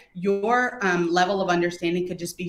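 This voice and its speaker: A woman's fairly low pitch with ordinary pitch variation, at a fairly quick pace, amid noticeable background noise. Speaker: customer experience speaker. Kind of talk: webinar presentation.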